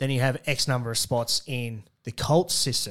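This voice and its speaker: A man speaks in an Australian accent. The recording is very clean, the background silent. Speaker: podcast co-host, rugby commentator. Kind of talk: casual chat. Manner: animated.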